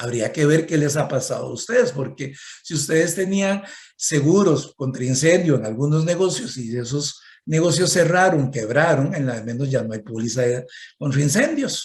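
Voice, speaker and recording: A somewhat breathy man's voice, fairly high-pitched, with lively intonation at a moderate pace and audible room echo. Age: 60s. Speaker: economist and conference speaker. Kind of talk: conference talk.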